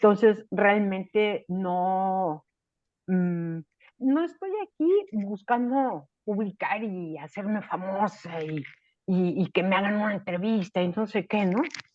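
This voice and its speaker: A woman's voice at medium pitch with ordinary pitch variation, an ordinary speaking voice. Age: 60s. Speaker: writing workshop participant. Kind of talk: casual chat.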